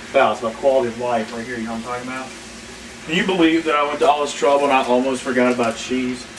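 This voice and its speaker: A man is heard speaking with noticeable background noise. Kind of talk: casual cooking demonstration to camera. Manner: rambling, hesitant.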